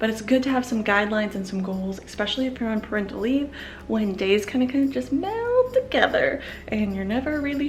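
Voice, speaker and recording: Noticeable background noise sits behind a woman with a fairly high pitch. She talks at a fairly quick pace with ordinary pitch variation. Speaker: parenting vlogger. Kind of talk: casual vlog talk.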